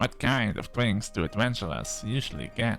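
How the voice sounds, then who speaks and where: A man's put-on character voice at medium pitch and a moderate pace, with clear music in the background. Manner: earnest, naive.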